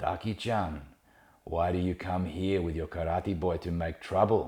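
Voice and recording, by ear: A man puts on a raspy character voice with very deep, low pitch, fairly even intonation and a moderate pace.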